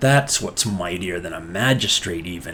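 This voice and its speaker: A put-on character voice growls along at a moderate pace with lively intonation. Clear background noise sits behind it. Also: man, very deep, low pitch for a man. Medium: read story.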